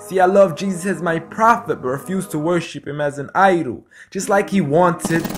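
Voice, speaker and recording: Music can be heard behind the speaker. The delivery holds a moderate pace. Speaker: spoken word poet. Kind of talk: spoken word poetry performance.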